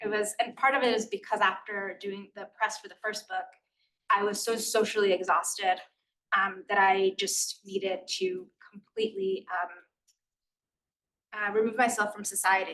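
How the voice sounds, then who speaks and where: In a Spanish accent, the speaker keeps a moderate pace and a flat monotone. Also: woman. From US, Queens, New York. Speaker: author. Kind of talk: interview conversation. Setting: stage with audience. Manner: casual, many fillers.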